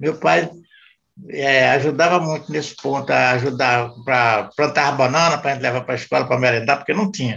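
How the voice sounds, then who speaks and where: Fairly quick and fairly high in pitch, a man's voice has a bright, sharp tone with vocal fry. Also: ordinary pitch variation. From Pernambuco, Brazil (Jaboatão). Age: 70s. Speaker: grandfather of the host. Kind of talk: casual family chat.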